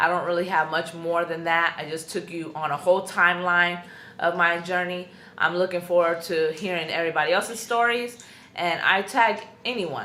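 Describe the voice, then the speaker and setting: A loud woman with a bright, sharp tone and a fairly low pitch speaks at a moderate pace. Audible room echo surrounds her voice. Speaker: YouTuber / vlogger. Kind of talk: personal vlog testimony. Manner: loud, outspoken; casual with many fillers.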